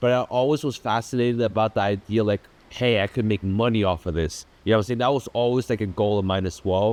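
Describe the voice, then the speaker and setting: A man with a German accent speaks very fast at a fairly low pitch, with ordinary pitch variation and very even loudness. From Germany, then England and US (military family). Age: 20s. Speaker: entrepreneur vlogger. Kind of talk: casual storytelling monologue. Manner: casual, filler-heavy.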